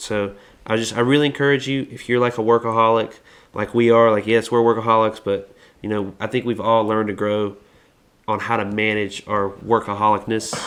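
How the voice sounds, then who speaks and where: At a fairly quick pace, a man talks in a medium pitch with monotone, flat intonation. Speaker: podcast co-host. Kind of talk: casual chat. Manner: loud; halting, many false starts.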